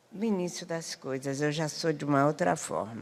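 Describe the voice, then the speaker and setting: A woman speaks at a fairly slow pace in a very deep, low pitch. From Rio de Janeiro, Brazil. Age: 80s+. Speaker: community elder and speaker. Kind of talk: panel talk.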